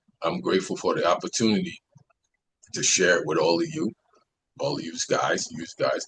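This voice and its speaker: A man with a New York accent speaks with long, frequent pauses. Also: moderate pace. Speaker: construction worker sharing recovery story. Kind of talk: personal testimony.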